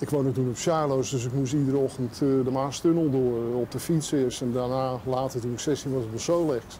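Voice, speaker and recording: Over light background noise, a man talks at a moderate pace in a fairly high pitch with ordinary pitch variation. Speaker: journalist. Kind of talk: casual interview. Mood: relaxed, nostalgic. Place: street. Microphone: lapel.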